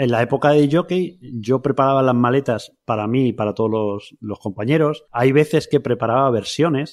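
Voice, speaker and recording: In a very clean recording with a silent background, a man with a plain, everyday voice talks at a medium pitch and moderate pace, with ordinary pitch variation and hardly any pauses. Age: 40s. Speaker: podcaster and podcast platform creator. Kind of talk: interview conversation. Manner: casual, informal.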